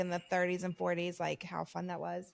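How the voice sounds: Speaking at a fairly quick pace, a woman with a Southern US accent has a medium pitch. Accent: Southern American.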